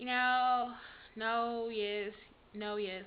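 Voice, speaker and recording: A woman is talking. She speaks with an American accent. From Texas. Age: 20s. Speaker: vlogger, grad student. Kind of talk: casual personal vlog. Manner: conversational, hesitant with fillers.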